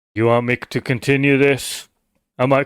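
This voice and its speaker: At a moderate pace and with fairly even intonation, a man talks in a very clean recording with a silent background and a dry, close sound with no echo. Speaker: commentary YouTuber. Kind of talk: casual commentary monologue. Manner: conversational, normal speaking voice.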